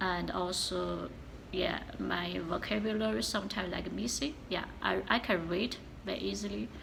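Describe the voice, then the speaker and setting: Speaking at a moderate pace with a strong Chinese accent, a woman is recorded with audible room echo and noticeable background noise. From China. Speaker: vlogger. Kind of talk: casual vlog talk. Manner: halting, many fillers.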